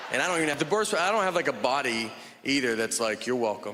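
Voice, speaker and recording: A man with an American accent, very fast pace, lively intonation and very even loudness, over noticeable background noise. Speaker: stand-up comedian. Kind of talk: stand-up comedy set.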